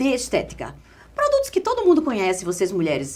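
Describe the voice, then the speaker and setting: A woman's high voice in a northeastern Brazilian accent. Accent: Northeastern Brazilian, drawling. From Northeast Brazil, Caruaru, Pernambuco. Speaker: pharmaceutical sales specialist and communication coach. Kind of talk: podcast interview.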